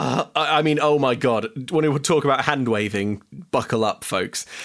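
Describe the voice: This is plain reading aloud. The words are simply read off.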